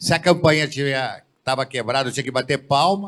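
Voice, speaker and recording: A man talks at a moderate pace. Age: 60s. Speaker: panelist, business council president. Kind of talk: panel discussion.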